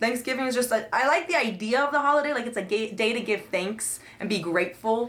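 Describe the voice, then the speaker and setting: Very fast talk from a woman with a fairly high pitch, amid noticeable background noise. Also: ordinary pitch variation, hardly any pauses. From Colombian family, raised in the US. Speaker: podcast co-host. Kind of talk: casual chat.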